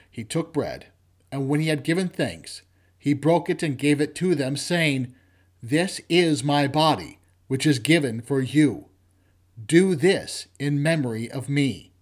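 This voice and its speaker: A man speaks in a normal speaking voice at a fairly slow pace, his fairly high pitch moving with ordinary variation. The recording is very clean, with a silent background. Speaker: lector leading vespers. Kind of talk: liturgical scripture reading at vespers. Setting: church. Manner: formal, measured, reverent.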